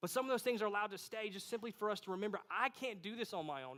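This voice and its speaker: Bright and sharp in tone, a man talks at a very fast pace with a high pitch. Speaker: pastor. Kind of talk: sermon.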